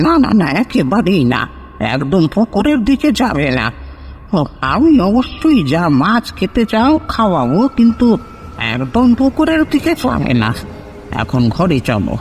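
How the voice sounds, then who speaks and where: In a put-on character voice that sounds shaky, the speaker moves at a moderate pace with very wide pitch swings and very even loudness over clear background noise. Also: man, high pitch for a man. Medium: audio drama.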